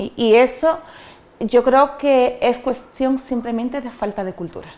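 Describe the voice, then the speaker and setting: This woman has a high voice. She speaks at a fairly slow pace. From Dominican Republic (Cabrera, María Trinidad Sánchez). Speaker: migrant interviewee. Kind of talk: interview. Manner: hesitant, many fillers and repetitions.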